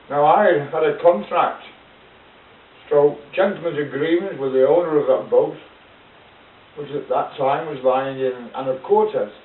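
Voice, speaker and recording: Against noticeable background noise, a man with a fairly high pitch talks at a fairly slow pace with ordinary pitch variation and long, frequent pauses. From United Kingdom. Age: 60s. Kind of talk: casual talk to camera. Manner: rambling, hesitant.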